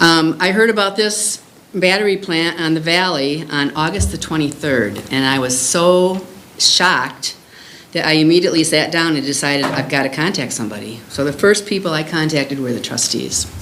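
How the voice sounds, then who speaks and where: Amid noticeable background noise and audible room echo, a woman with a very deep, low pitch speaks at a moderate pace with lively intonation. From Illinois, US Midwest. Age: 70s. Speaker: resident making public comment. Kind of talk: public comment.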